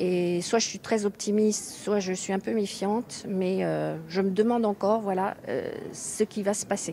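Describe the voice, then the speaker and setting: A woman with an unremarkable speaking voice speaks in a medium pitch. Her pace is fairly slow and her intonation fairly even. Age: 60s. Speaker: member of the public. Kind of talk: recorded question.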